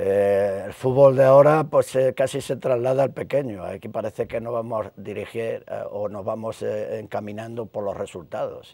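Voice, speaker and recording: A man at a moderate pace. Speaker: retired police inspector and youth football coach; youth football coach. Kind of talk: interview. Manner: halting, many repetitions. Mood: reflective, at times emotional. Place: studio. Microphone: lapel.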